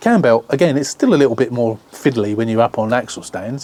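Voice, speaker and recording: This man talks very fast in an English accent. His pitch sits in the medium range. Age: 60s. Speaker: car restoration YouTuber. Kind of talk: casual vlog chat.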